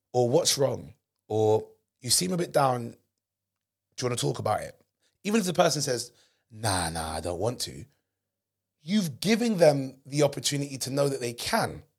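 With a London accent, a somewhat breathy man speaks at a moderate pace with very wide pitch swings and long, frequent pauses. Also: medium pitch for a man. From England. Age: 30s. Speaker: comedian and podcast host. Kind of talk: casual chat. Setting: studio. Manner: animated.

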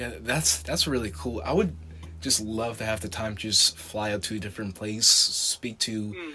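A man speaks with lively intonation. His voice is fairly low and his pace moderate. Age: 20s. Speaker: podcast host. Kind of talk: interview. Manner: halting, many fillers.

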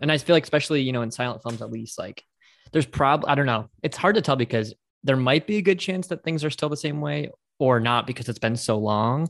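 A man with an American accent at a medium pitch, very fast, with ordinary pitch variation. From United States. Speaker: podcast host. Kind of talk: casual chat.

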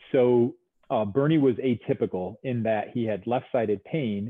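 Speaking in a New York accent, a man keeps a medium pitch with ordinary pitch variation. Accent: American (New York). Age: 50s. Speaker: physical therapist. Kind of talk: casual interview.

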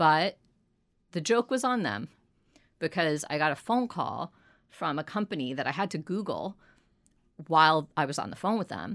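On a very clean recording with a silent background and a dry, close sound with no echo, a woman speaks at a moderate pace with very wide pitch swings and long, frequent pauses. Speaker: entrepreneur. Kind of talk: interview. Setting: studio. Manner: confident.

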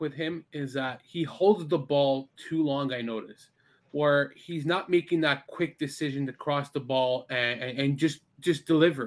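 The speaker has a plain, everyday voice. The pace is moderate, with hardly any pauses. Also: man. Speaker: guest soccer fan. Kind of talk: casual chat.

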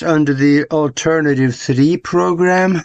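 Fairly high in pitch, a man with an American accent has an unremarkable speaking voice and ordinary pitch variation. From outside the US. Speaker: show co-host. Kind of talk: casual chat.

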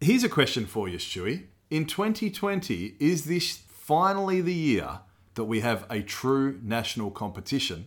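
In a very clean recording with a silent background, a man with an Australian accent speaks at a moderate pace and fairly high pitch, his voice making very wide pitch swings. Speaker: sports podcast co-host. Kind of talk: casual chat.

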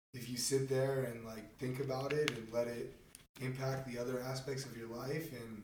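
Audible room echo around a man's medium-pitched voice with a West Coast accent and fairly even intonation. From Marin County, California. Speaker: podcast host, college athlete. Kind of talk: interview.

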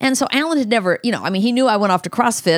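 A woman speaks at a very fast pace. The recording is very clean, with a silent background. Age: 60s. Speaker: host's mother, recently widowed. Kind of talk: casual interview conversation.

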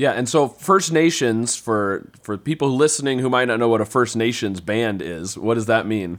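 A man with a plain, everyday voice, medium pitch, and lively intonation, at a moderate pace with hardly any pauses. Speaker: podcast host. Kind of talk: casual interview chat.

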